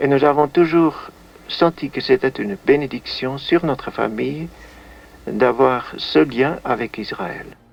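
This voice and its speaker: Speaking very slowly, a man uses a fairly high voice. His pitch varies in an ordinary way. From Netherlands. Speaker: musician and composer; witness of wartime events. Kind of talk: interview answer.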